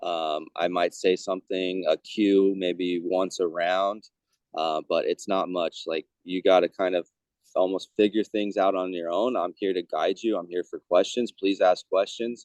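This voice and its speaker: A quiet man speaks at a fairly slow pace. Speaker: baseball hitting coach. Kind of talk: casual podcast interview. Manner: quiet-spoken; hesitant, many fillers.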